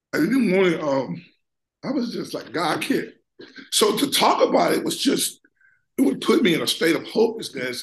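A man puts on a raspy, high-pitched character voice with very wide pitch swings, talking at a moderate pace with long, frequent pauses. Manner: subdued, hopeless, suppressed emotion.

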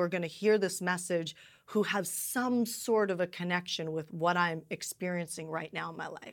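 Here is an ordinary speaking voice from a woman at medium pitch. She keeps a moderate pace with ordinary pitch variation. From Canada. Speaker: event host and business coach. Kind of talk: interview conversation.

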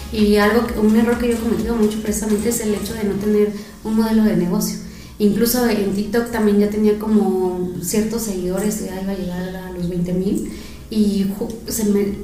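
Against noticeable background noise, a woman with a medium pitch speaks at a moderate pace in a monotone, flat intonation. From Mexico City. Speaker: podcast host. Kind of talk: casual interview chat.

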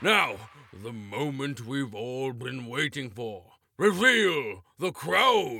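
A man's put-on character voice at medium pitch, delivered at a very slow pace. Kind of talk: regal proclamation. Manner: pompous, commanding.

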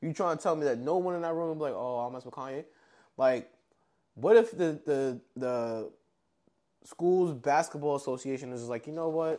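Over a very clean recording with a silent background, a man with a fairly high pitch and a dark, mellow tone talks at a moderate pace, with ordinary pitch variation, big swings in loudness and long, frequent pauses. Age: 30s. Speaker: podcast co-host. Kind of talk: casual chat.

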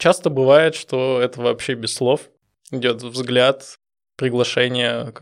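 A man's medium-pitched voice at a very slow pace. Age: 30s. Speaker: programmer, podcast guest. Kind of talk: casual chat.

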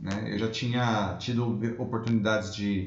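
A man with a fairly low pitch and fairly even intonation, in audible room echo. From Brazil, São Paulo city. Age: 30s. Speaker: immigration lawyer. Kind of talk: interview.

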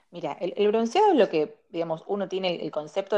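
Speaking very fast with a Rioplatense accent, a woman uses a medium pitch and a dark, mellow tone. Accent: Argentine Rioplatense Spanish. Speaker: dermatologist. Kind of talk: interview.

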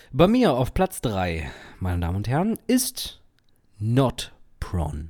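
Recorded very cleanly against a silent background, a man with a dark, mellow tone speaks at a very slow pace with very wide pitch swings. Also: medium pitch for a man. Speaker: podcast co-host. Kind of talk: casual chat.

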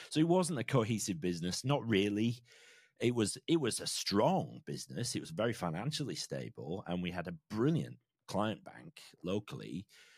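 A man with an English accent and a fairly low pitch shows very wide pitch swings, vocal fry and big swings in loudness, captured with a dry, close sound with no echo. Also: moderate pace, very clean recording, silent background. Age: 40s. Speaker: financial planner and podcaster. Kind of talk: interview conversation.

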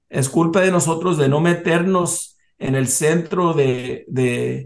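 A somewhat breathy man speaks very slowly with ordinary pitch variation. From US South, South Texas border. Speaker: business association president. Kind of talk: interview. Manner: halting.

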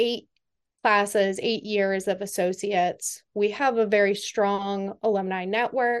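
With an American accent, a woman has an unremarkable speaking voice at medium pitch, speaking at a fairly slow pace against a quiet background. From Western Massachusetts. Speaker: government IT consultant. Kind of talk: interview.

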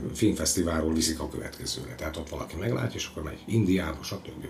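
The speech moves at a very fast pace with lively intonation. Noticeable background noise can be heard behind it. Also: man. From southern Slovakia, Hungarian minority. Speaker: stage and film actor. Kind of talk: interview. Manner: halting, repetitive.

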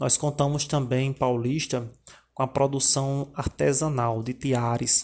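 Monotone and flat in intonation, a man speaks at a medium pitch in a somewhat breathy voice. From Paraíba sertão, Brazil. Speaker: teacher. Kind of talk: informative presentation. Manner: halting, many filler 'é'.

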